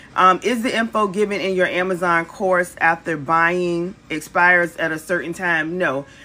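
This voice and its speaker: This woman speaks with an American accent. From Virginia, US. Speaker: online business coach. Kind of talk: livestream Q&A and sales pitch. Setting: live stream from a cruise ship. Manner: animated. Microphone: phone near.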